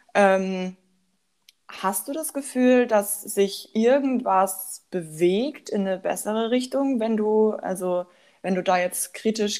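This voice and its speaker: An ordinary speaking voice, its pitch varying in an ordinary way. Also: woman. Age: young. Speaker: psychology student. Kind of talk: casual podcast discussion.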